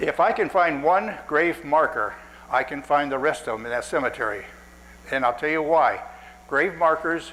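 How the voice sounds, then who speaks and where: A man's fairly high voice with ordinary pitch variation and audible room echo. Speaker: cemetery restorer giving a lecture. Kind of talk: lecture. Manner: fast when excited.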